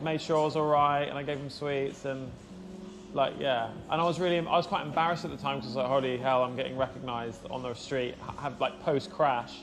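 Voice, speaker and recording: There is audible room echo as a man talks at a fairly quick pace. His voice is fairly high, with ordinary pitch variation. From southern England, Surrey area. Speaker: motorcycle vlogger and streamer. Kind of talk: casual chat. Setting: live motorcycle stream. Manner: animated.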